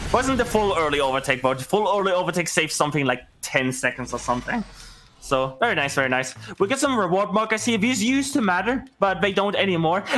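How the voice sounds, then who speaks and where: With a German accent, a man speaks at a very fast pace and a high pitch, his pitch swinging very widely while his loudness stays very even. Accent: German accent, mispronounces words. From Germany. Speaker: video game speedrunner. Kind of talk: live gameplay commentary. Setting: live charity stream. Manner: talkative, non-stop.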